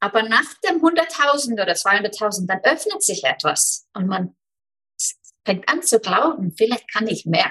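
A woman speaks at a very slow pace with a bright, sharp tone. Her fairly high pitch makes very wide swings. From Iceland. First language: Icelandic (speaking German). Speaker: business mentor. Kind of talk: interview.

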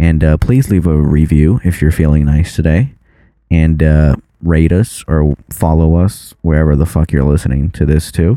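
A mumbling man with a very deep, low pitch, a dark, mellow tone and very even loudness. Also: ordinary pitch variation, moderate pace. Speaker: podcast co-host. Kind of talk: casual chat.

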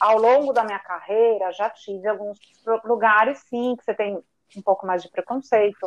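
A woman with a plain, everyday voice and fairly even intonation is heard in a dry, close sound with no echo. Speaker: chemical engineer. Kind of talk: casual chat.

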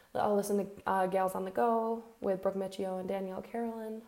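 A woman's plain, everyday voice, medium in pitch, at a moderate pace with fairly even intonation. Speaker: podcast host. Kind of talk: solo podcast monologue. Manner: casual, conversational.

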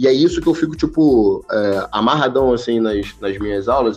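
The tone is dark and mellow, the pace fairly quick, and the pitch varies in an ordinary way. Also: man. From Baixada Fluminense, Rio de Janeiro. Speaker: jiu-jitsu instructor. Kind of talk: casual chat.

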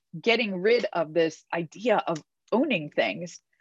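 Against a quiet background, a woman with an ordinary speaking voice talks at a medium pitch with lively intonation, the sound dry and close with no echo. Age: 40s. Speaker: book club host, accountant. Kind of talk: casual discussion on video call.

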